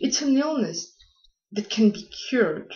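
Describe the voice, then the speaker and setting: This is a woman talking with a non-native accent. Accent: foreign. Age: young. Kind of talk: casual talk to camera.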